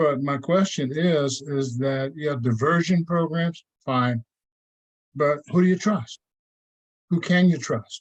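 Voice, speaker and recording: A man with a fairly high, somewhat breathy voice speaks at a very slow pace with long, frequent pauses and ordinary pitch variation. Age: 70s. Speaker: community member at public meeting. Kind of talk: public meeting comment.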